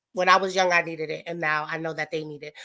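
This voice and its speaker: A woman with an American accent speaks in a monotone, flat way at a fairly low pitch, her tone bright and sharp, on a very clean recording with a silent background. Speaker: activist and author. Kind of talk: interview. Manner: fast.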